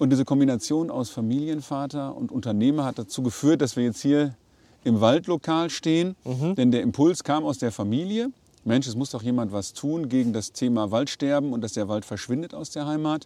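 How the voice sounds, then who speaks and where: A man with a dark, mellow tone and a fairly high pitch, at a moderate pace, with ordinary pitch variation and a quiet background. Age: 40s. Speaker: company managing director. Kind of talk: podcast interview. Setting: outdoors at a forest site.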